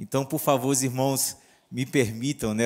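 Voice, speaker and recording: In a northeastern Brazilian accent, a man speaks at a moderate pace with a medium pitch and fairly even intonation. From northeast Brazil. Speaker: pastor. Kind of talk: sermon.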